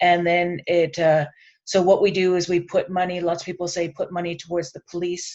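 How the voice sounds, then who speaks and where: Speaking at a fairly quick pace, a woman uses a medium pitch. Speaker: land-based educator and panelist. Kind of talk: panel discussion. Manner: fast.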